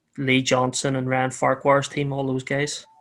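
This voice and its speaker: A man in a Northern Irish accent speaks at a moderate pace and a medium pitch. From Northern Ireland. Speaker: motorcycle racer and team owner. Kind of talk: podcast interview.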